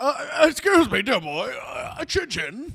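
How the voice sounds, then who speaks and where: At a fairly slow pace, a man puts on a character voice at an extremely high pitch. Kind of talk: posh, formal. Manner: clipped, refined.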